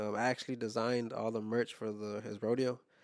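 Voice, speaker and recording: This man's voice sits at a medium pitch. His intonation is monotone and flat. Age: 30s. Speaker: director, designer and photographer. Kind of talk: casual chat. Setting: studio.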